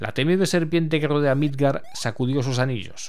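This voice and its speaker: Talking at a fairly quick pace, a man speaks in a medium pitch. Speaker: retro gaming YouTuber. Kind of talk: casual commented gameplay walkthrough; epic mythic narration, read aloud in intro story. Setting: home recording with voiceover over game footage. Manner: halting, repeats words, thinking aloud.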